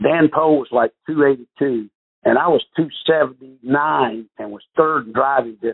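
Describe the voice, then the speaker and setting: The speech comes in a Southern US accent at a very slow pace. Its intonation is fairly even. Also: man, medium pitch for a man, big swings in loudness. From North Carolina. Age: 50s. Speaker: professional golfer. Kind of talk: interview.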